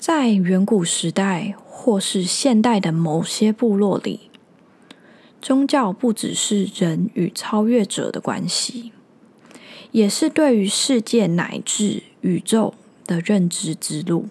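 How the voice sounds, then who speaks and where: Somewhat breathy and at a very slow pace, a woman speaks at a medium pitch with ordinary pitch variation. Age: 20s. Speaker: podcast host. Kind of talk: solo monologue.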